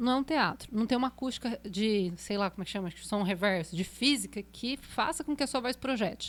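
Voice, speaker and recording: In an ordinary speaking voice, a woman talks at a fairly quick pace with hardly any pauses, her fairly high pitch carrying lively intonation on a very clean recording with a silent background. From Brazil, Pindamonhangaba, São Paulo state. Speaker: singer and voice teacher. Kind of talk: podcast interview. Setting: studio.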